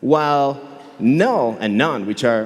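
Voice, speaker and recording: Over audible room echo, a man with a fairly high pitch speaks in an animated tone with lively intonation. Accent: Catalan Spanish. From Catalonia, Spain. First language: Catalan. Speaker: software engineer and conference speaker. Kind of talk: conference talk. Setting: stage with audience.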